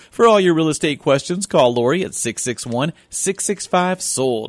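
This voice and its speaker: Using an unremarkable speaking voice, a man talks at a moderate pace with lively intonation. The sound is dry and close, without echo. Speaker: radio co-host and announcer. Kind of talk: radio show intro and conversational interview. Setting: radio studio, live broadcast. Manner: upbeat, cheerful.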